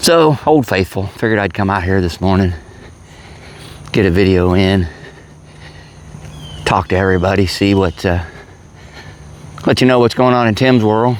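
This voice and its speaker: A man speaks at a fairly low pitch and moderate pace, with ordinary pitch variation and very even loudness. Long, frequent pauses break his speech over noticeable background noise. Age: 60s. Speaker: vlogger. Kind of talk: casual monologue.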